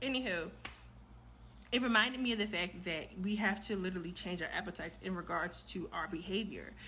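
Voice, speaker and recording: With vocal fry and a bright, sharp tone, a woman talks at a fairly quick pace with ordinary pitch variation, and room echo is audible. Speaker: vlogger. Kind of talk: casual vlog monologue. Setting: home kitchen at night.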